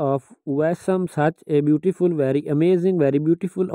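Speaking with a non-native accent, a man uses a fairly high pitch and ordinary pitch variation. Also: dry, close sound with no echo. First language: not English. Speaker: fashion YouTuber. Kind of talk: voiceover commentary on outfit slideshow.

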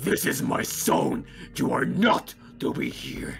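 Someone performs a put-on character voice at a fairly slow pace. Clear background noise is audible. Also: man.

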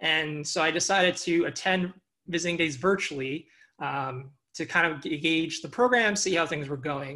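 Over a quiet background, a man with an American accent speaks at a moderate pace in a high, bright, sharp voice with ordinary pitch variation. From Long Island, New York. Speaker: doctoral student. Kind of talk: panel talk.

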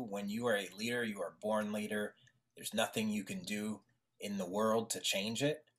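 A man speaks at a moderate pace in a fairly low pitch. It is an unremarkable speaking voice with fairly even intonation. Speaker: podcast host. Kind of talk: casual interview.

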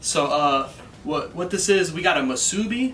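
A man's voice has ordinary pitch variation and a moderate pace, with light background noise present. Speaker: vlogger. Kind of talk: casual food review vlog chat. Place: home room. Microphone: camera far.

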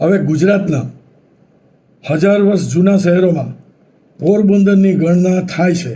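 A man's high-pitched voice has a dark, mellow tone and fairly even intonation, heard with audible room echo. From Saurashtra, Gujarat (Porbandar). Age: 70s. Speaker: retired engineer and YouTuber. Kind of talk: local history talk. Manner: halting.

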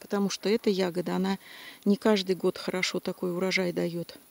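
A woman at a moderate pace, with fairly even intonation and a dry sound with no echo. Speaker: nature vlogger picking berries. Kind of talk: casual vlog chat. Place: forest. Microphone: phone near.

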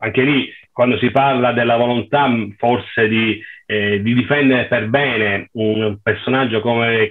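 This man talks at a fairly slow pace. His intonation is fairly even. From Palermo, Sicily; Sicily. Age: 50s. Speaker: former police bodyguard, attack survivor; panelist or host. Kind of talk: interview. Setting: video call. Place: home room. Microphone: video call.

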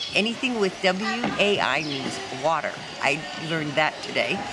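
A woman speaks over loud background noise. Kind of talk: casual travel vlog interview answer. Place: street. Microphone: phone near.

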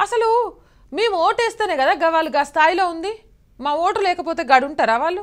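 With a Telangana accent, a woman speaks at an extremely high pitch with lively intonation against a quiet background. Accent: Telangana Telugu dialect. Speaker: news show host. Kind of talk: satirical newspaper review. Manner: animated, colloquial. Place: studio. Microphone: lapel.

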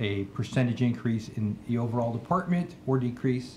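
Fairly brisk speech from a man, with background noise clearly present. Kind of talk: formal meeting presentation. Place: hall. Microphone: podium.

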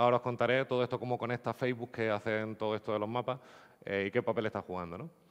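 A man rattles off his words at a very fast pace with a quiet background behind him. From Andalusia, Spain (Nerja, Málaga); Andalusia. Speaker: geospatial software developer; conference speaker. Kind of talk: conference talk. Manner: hesitant, repeats words. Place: hall.

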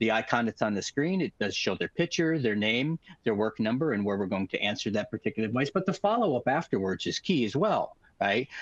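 Against a quiet background, a man speaks with lively intonation in a dry recording with no echo. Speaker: guest. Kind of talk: webinar explanation. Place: home room. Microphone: headset.

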